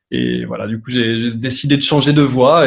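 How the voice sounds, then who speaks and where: This is a man speaking at a medium pitch. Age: 30s. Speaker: advertising agency owner, former physiotherapist. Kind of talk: podcast interview. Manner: casual, hesitant with many fillers.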